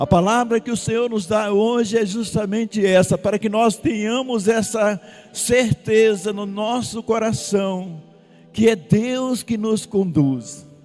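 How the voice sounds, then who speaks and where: A man talks at a very slow pace with music in the background. His pitch is high, with ordinary variation. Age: 60s. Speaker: preacher, community founder. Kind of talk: sermon. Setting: retreat gathering with audience.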